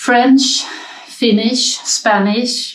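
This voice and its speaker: A woman speaks with a Swedish accent. Her pace is very slow. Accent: non-native English, Swedish. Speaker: knitting podcaster. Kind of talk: casual talk to viewers. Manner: hesitant, many fillers.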